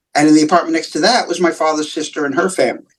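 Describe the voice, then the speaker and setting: A man speaks with a New York accent. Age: 60s. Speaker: comic book writer. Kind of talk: interview. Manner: halting, many fillers and repeats.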